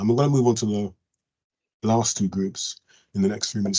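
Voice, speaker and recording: Fairly low in pitch, this man's voice shows ordinary pitch variation. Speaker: professor, health researcher. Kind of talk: presentation at an online learning event. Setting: video call. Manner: rushed; halting, many fillers.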